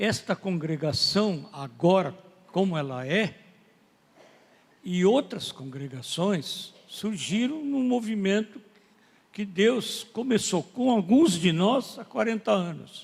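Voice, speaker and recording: A man with a high pitch speaks very slowly, his pitch swinging very widely, with long, frequent pauses. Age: 80s+. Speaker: pastor. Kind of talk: sermon.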